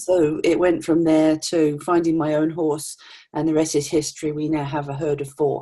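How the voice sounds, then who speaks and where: Speaking with an East Anglian accent, a woman has a very deep, low pitch and a dark, mellow tone. Her intonation is monotone and flat, and her pace is moderate. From England, Norfolk. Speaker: retirement consultant. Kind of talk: interview.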